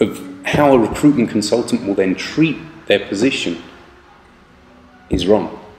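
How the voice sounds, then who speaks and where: A man talks at a moderate speed, and the room's echo is clearly audible. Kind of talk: advice talk to camera. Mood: calm, earnest. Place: office. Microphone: phone near.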